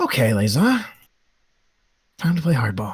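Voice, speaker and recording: At a moderate pace, this man uses a raspy, put-on character voice. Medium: actual play.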